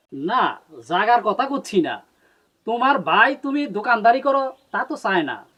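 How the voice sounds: Putting on a character voice, a man speaks at a moderate pace in an extremely high pitch, with a bright, sharp tone and big pitch swings.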